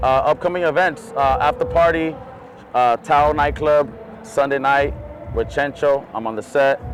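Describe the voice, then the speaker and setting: The speech has ordinary pitch variation and a moderate pace, with noticeable background noise. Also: man, fairly high pitch for a man. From Imperial Valley, Southern California. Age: 30s. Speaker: DJ. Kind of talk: casual interview. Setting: outdoors at a music festival.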